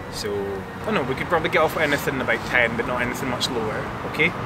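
A man talks at a very fast pace with ordinary pitch variation over loud background noise. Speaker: photography teacher. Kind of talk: tutorial. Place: open country.

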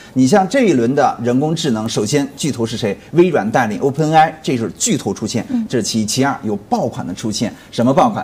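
A man speaks fairly quickly, his intonation lively. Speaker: stock market commentator guest. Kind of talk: interview answer. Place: studio. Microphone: lapel.

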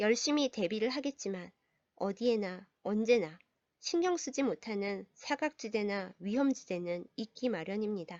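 With an unremarkable speaking voice, this woman talks at a fairly slow pace, her fairly high pitch rising and falling in lively intonation. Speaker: pastor. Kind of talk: storytelling reflection. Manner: gentle, calm.

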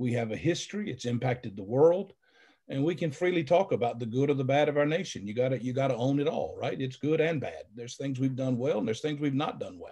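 Against a quiet background, a man speaks very fast in a somewhat breathy voice. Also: ordinary pitch variation. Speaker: pastor guest on panel. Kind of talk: panel commentary, sermon-like. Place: home room. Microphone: video call.

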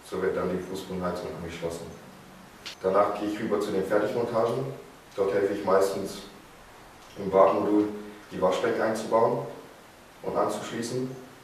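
Fairly even intonation from a man with a fairly low voice, at a moderate pace with long, frequent pauses, amid noticeable background noise and audible room echo. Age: young. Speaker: apprentice plumbing and heating fitter. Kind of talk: scripted video presentation.

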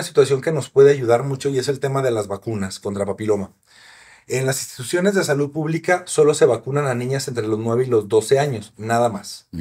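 A man with a medium-pitched, somewhat breathy voice talks at a fairly quick pace with lively intonation. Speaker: sexologist doctor; guest. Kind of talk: casual interview, expert explanations. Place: studio. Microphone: studio mic.

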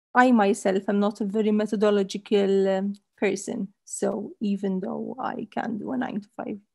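Against a quiet background, a woman talks with a dark, mellow tone that is somewhat breathy. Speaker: panelist. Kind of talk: interview answer. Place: home room. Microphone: headset.

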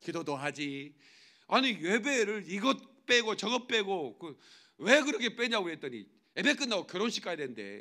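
A man speaks in a raised, projected voice with a high pitch, a bright, sharp tone and very wide pitch swings. His loudness swings a lot at a moderate pace against a quiet background. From South Korea. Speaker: pastor. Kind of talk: sermon. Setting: church. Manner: animated. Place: church. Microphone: podium.

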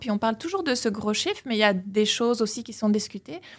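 A somewhat breathy woman's voice on a very clean recording with a silent background. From Belgium. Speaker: political science professor. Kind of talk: interview. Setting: studio.

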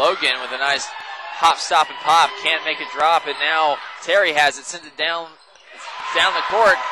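High-pitched for a man, the voice comes through with a dry sound with no echo amid noticeable background noise. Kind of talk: live commentary. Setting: arena broadcast. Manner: fast-paced, excitable play-by-play; rhyming catchphrases. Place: hall.

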